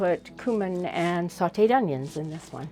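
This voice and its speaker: A woman's fairly low-pitched voice at a moderate pace, with music in the background. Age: 60s. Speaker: homesteader. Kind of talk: casual chat.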